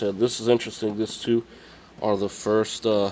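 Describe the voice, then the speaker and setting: A man speaks with an American accent at a fairly low pitch. Noticeable background noise is present. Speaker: video game collector vlogger. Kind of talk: casual vlog. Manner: halting.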